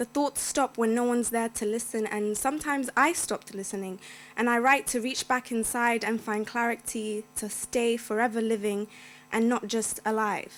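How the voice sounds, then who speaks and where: In a very clean recording with a silent background, a woman with a fairly high pitch talks at a moderate pace with fairly even intonation. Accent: London. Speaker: poet. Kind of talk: poetry reading. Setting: stage with audience.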